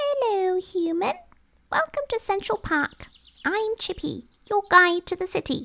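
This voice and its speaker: A woman uses a put-on character voice. It is squeaky and extremely high in pitch. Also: moderate pace. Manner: friendly welcoming.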